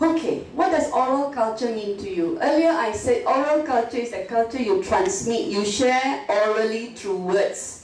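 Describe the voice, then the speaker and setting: A woman speaks with fairly high pitch and lively intonation, with noticeable background noise and audible room echo. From northern Malaysia (Penang area). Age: 50s. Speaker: professor. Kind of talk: lecture. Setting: classroom with audience. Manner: code-switching English and Mandarin.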